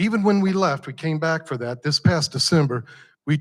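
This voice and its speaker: This man's voice sits at a fairly high pitch. It sounds somewhat breathy. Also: very clean recording, silent background. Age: 60s. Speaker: nonprofit founder and entrepreneur presenter. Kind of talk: pitch presentation. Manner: conversational, addresses audience.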